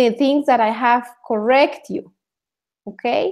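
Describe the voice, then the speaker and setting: A woman is speaking. Her pitch is high. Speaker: English speaking tutor. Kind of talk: online class instruction.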